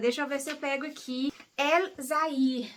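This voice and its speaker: This is a woman speaking. Her pace is fairly slow. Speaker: book YouTuber. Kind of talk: casual book review vlog. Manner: casual, hesitant with fillers.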